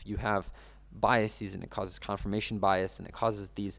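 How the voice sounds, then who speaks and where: With a Russian accent and vocal fry, a man speaks at a fairly low pitch and a fairly quick pace on a very clean recording with a silent background. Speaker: yeshiva student and news account manager. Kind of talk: podcast interview. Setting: podcast. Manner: hesitant, with frequent fillers and restarts.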